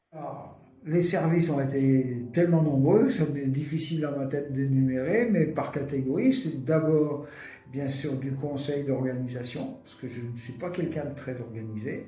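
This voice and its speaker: A man's fairly high voice at a fairly slow pace, ordinary pitch variation, audible room echo and noticeable background noise. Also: big swings in loudness. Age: 70s. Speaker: retired social worker. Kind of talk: testimony.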